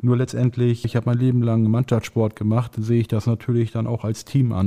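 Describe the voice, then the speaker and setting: In a quiet background, a man talks at a very fast pace with a dark, mellow tone. His intonation is monotone and flat, and the sound is dry and close with no echo. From Lower Saxony, Barnstorf. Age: 40s. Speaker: mayoral candidate, civil servant. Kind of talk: candidate interview.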